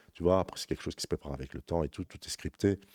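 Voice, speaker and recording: Very deep and low, a man's dark, mellow voice comes through dry and close with no echo, in a very clean recording with a silent background. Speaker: crypto trading youtuber. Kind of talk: market analysis tutorial. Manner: halting, many fillers.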